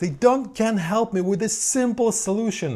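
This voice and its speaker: On a very clean recording with a silent background, a man speaks with a non-native accent. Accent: foreign-accented English. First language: not English. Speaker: synth producer and YouTuber. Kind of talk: casual vlog monologue. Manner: halting; animated.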